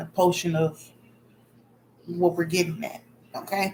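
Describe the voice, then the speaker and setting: Soft-spoken and in a monotone, flat intonation, a woman talks over noticeable background noise. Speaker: spiritual vlogger. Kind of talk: casual vlog monologue.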